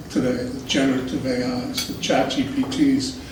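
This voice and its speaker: Over noticeable background noise and audible room echo, a man speaks fairly slowly at a fairly high pitch with fairly even intonation. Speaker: lecturer. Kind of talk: lecture. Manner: soft-spoken.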